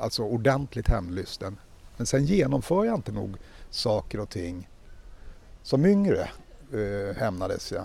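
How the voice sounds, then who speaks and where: Speaking at a fairly slow pace with long, frequent pauses, a man with a dark, mellow tone and medium pitch makes very wide pitch swings on a very clean recording with a silent background. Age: 50s. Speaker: podcast co-host. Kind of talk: casual chat.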